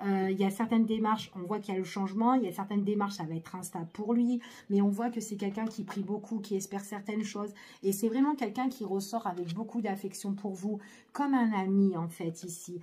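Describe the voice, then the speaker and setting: Somewhat breathy, a woman speaks at a medium pitch in a dark, mellow tone. Her pace is fairly quick and her intonation fairly even. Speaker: tarot card reader. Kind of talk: tarot reading. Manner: hesitant, many fillers.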